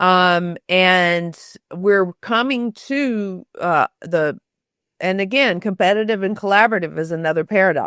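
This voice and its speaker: The delivery is fairly slow, with a Southern US accent and ordinary pitch variation. The sound is dry and close with no echo, over a quiet background. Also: woman, medium pitch for a woman. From US South, Shreveport, Louisiana. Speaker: author and storytelling expert. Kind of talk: interview conversation.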